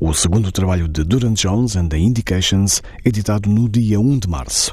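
The speaker has a European Portuguese accent. Noticeable background noise runs under the voice. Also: man. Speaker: radio music show host. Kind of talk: radio presenting between songs. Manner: formal.

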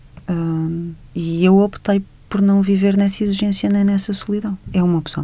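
Her delivery is monotone and flat, at a medium pitch and a moderate pace. Noticeable background noise runs under the woman's voice. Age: 40s. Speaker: writer and journalist. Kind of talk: radio interview.

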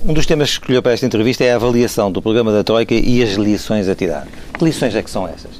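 This man talks at a very fast pace with medium pitch and ordinary pitch variation. Noticeable background noise sits behind him. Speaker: radio interviewer. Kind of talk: interview.

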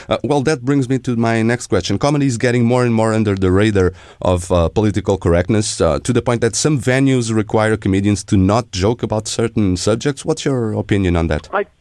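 Very fast speech with ordinary pitch variation. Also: man, medium pitch for a man, very even loudness. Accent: Portuguese. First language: Portuguese. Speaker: radio host. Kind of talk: interview.

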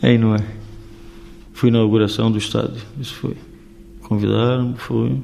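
With audible room echo and noticeable background noise, a man speaks at a fairly low pitch. He uses lively intonation at a moderate pace, with long, frequent pauses. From Portugal, Vila Real (Trás-os-Montes), raised in Rio de Janeiro until 15. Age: 60s. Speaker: former footballer, youth coach. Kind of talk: radio interview.

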